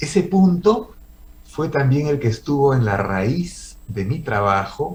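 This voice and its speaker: Speaking at a very slow pace, a man uses a somewhat breathy voice with very wide pitch swings. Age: 70s. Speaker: comic artist. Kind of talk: personal testimony.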